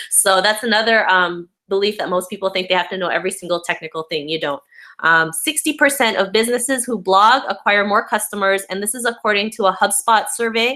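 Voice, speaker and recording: A woman's bright, sharp tone at a fairly quick pace, with ordinary pitch variation. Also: medium pitch for a woman. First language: not English. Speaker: blogger and online marketing teacher. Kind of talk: webinar presentation.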